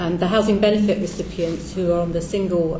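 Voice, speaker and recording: Fairly low in pitch, a woman talks at a moderate pace with fairly even intonation. Audible room echo and noticeable background noise are present. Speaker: charity advice organisation representative. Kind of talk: parliamentary committee evidence. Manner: soft-spoken.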